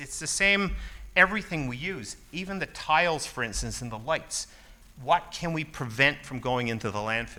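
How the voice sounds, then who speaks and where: A man with a fairly high pitch and vocal fry speaks at a moderate pace with very wide pitch swings. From Newfoundland. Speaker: building owner representative, panelist. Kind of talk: conference panel talk. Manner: casual, halting with repeats.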